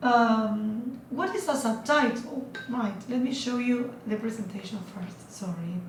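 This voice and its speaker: A woman with a non-native accent and a fairly high pitch speaks at a very slow pace, with audible room echo. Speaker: student giving a class presentation. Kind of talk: presentation. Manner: halting, many fillers.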